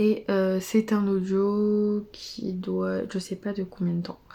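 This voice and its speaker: Soft-spoken and with a dark, mellow tone, the voice keeps a monotone, flat intonation. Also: woman. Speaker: book vlogger. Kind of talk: casual vlog. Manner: hesitant, many fillers.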